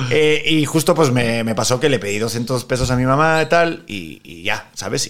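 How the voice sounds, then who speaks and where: Lively intonation and vocal fry at a moderate pace, hardly any pauses, big swings in loudness. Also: man. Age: 30s. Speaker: actor. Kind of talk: casual chat.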